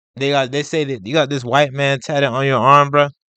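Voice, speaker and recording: Against a quiet background, a man speaks at a fairly quick pace, the sound dry and close with no echo. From United States. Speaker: reaction video commentator. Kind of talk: casual reaction commentary.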